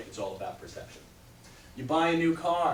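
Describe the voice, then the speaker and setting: A man talking very fast, with noticeable background noise and audible room echo. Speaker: chiropractor giving a health talk. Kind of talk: talk to a live audience. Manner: animated.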